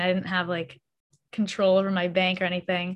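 A woman with an American accent talks at a moderate pace and medium pitch, in a plain, everyday voice. The recording is very clean, with a silent background. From US Northeast (Massachusetts). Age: 20s. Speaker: YouTuber and college student. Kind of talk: casual interview.

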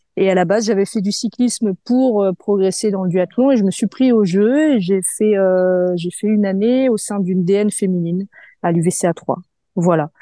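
Recorded dry and close with no echo against a quiet background, a woman speaks with a dark, mellow tone at a medium pitch with ordinary pitch variation. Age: 30s. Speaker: sophrologist and amateur athlete. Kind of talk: interview. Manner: casual, hesitant with fillers.

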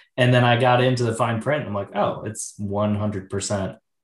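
A man with a fairly low, somewhat breathy voice talks fairly quickly in an American accent, his intonation fairly even. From Wisconsin (Oshkosh). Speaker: podcast host. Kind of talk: casual interview chat.

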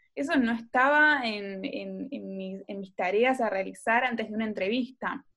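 A woman with a fairly high pitch and a bright, sharp tone talks at a fairly slow pace with hardly any pauses, big swings in loudness and ordinary pitch variation. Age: 20s. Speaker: podcast co-host. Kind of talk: casual chat.

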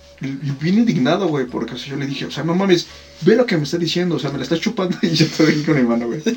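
A man's very fast speech at a fairly high pitch, with noticeable background noise. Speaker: podcast co-host. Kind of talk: casual chat. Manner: animated.

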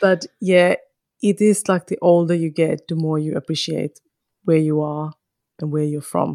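With a Finnish accent, a woman speaks at a moderate pace in a dark, mellow tone, fairly low in pitch. Her intonation is fairly even, and the sound is dry and close with no echo. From northern Finland, Kajaani. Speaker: podcaster and mother. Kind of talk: interview conversation.

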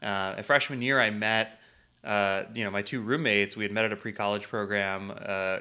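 A man with an American accent and a bright, sharp tone speaks at a fairly low pitch and moderate pace on a very clean recording with a silent background. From US Midwest, St. Louis, Missouri. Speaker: entrepreneur. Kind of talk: podcast interview.

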